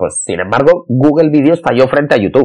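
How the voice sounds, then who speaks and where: A man's voice with vocal fry at a moderate pace. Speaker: podcast host and marketing consultant. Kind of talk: solo podcast monologue. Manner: halting, repeats words.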